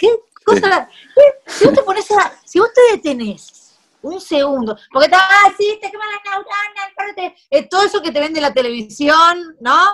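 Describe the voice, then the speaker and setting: With very wide pitch swings, a woman speaks fairly slowly at an extremely high pitch. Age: 40s. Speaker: cannabis activist and home cook. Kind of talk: casual interview.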